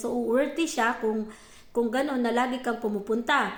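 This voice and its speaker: The speaker keeps a moderate pace with ordinary pitch variation. Audible room echo is present. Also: woman. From Philippines. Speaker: vlogger. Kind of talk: casual chat.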